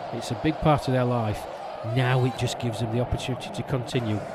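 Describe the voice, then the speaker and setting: A man talks at a very fast pace and medium pitch amid noticeable background noise. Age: 50s. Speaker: cricket commentator. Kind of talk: live commentary.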